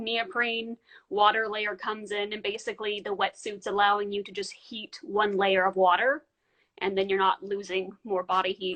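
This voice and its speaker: A woman talks in an unremarkable speaking voice at a fairly high pitch. Her pace is moderate. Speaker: polar diver and underwater videographer. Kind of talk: live interview.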